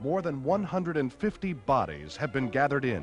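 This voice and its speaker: A man speaks at a medium pitch and a moderate pace. Music plays in the background. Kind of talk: 1930s newsreel narration. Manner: dramatic, urgent.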